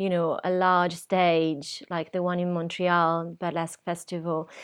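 Very slow speech from a woman at a medium pitch. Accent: Italian. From Italy, Rimini. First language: Italian. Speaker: burlesque performer. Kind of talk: interview. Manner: halting, many fillers.

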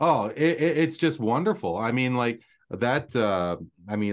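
With a quiet background behind him, a man in an unremarkable speaking voice talks at a moderate pace with lively intonation. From Canada. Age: 40s. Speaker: podcast host. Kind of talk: trivia quiz hosting; casual chat. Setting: live audio stream.

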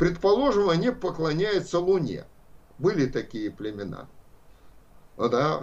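A man speaks at a fairly slow pace with long, frequent pauses and a high pitch that swings very widely. Audible room echo surrounds his voice. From Russia, Saint Petersburg. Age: 70s. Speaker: philosophy professor. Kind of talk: lecture.

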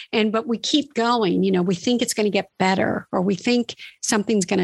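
A woman with a normal speaking voice, fairly high in pitch, moving at a moderate pace with ordinary pitch variation and very even loudness, the sound dry and close with no echo. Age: 50s. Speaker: former magazine model, self-help blogger. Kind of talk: casual interview.

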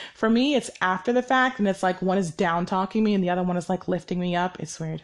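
A woman speaks at a fairly quick pace with medium pitch and ordinary pitch variation in an ordinary speaking voice. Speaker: podcast host. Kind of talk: solo podcast monologue, casual. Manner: casual, conversational, fillers.

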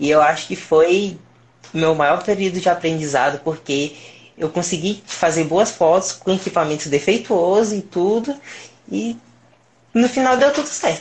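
A man with a high-pitched voice. His intonation is lively and his pace moderate. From Brazil, Piauí. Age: 20s. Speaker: mobile photographer. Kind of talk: casual interview on live stream.

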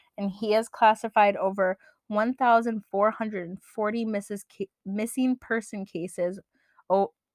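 A woman's plain, everyday voice, medium in pitch at a fairly slow pace, dry and close with no echo. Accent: American. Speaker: podcast co-host. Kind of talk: casual chat.

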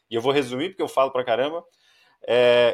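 A man talks very fast in a very clean recording with a silent background. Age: 30s. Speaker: podcast host. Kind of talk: casual interview. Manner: talkative.

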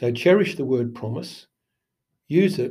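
Here a man with an Australian accent speaks at a moderate pace with a medium pitch and lively intonation. His tone is dark and mellow, and somewhat breathy. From Sydney, Australia. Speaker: procurement consultant. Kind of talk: interview.

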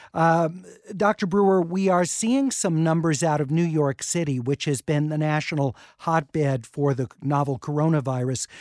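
In a normal speaking voice, a man talks at a moderate pace with a fairly high pitch. His pitch variation is ordinary, and the sound is dry and close with no echo. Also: very even loudness, very clean recording, silent background. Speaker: radio host. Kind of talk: radio talk show interview. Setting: studio.

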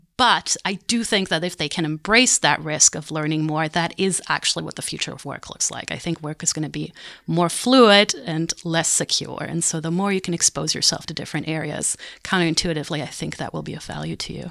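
A woman with a fairly low pitch talks at a fairly quick pace with vocal fry, a bright, sharp tone and big swings in loudness. The recording is very clean, with a silent background. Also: ordinary pitch variation, hardly any pauses. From Germany. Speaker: business professor. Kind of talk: interview.

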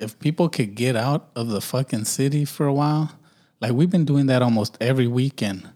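A man with an American accent talks at a fairly quick pace in a dark, mellow tone. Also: medium pitch for a man, ordinary pitch variation, dry, close sound with no echo, very clean recording, silent background. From US, urban neighborhood. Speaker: podcast host. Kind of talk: casual chat. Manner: stutters and pauses a lot.

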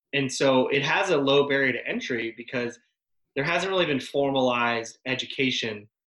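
This man's voice is medium in pitch, with a bright, sharp tone. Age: 30s. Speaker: technical sales manager. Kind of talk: casual chat.

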